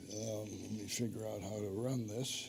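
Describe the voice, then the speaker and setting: A somewhat breathy, dark, mellow voice at a fairly slow pace. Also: man. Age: 80s+. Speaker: author giving a church adult-education talk. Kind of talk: lecture.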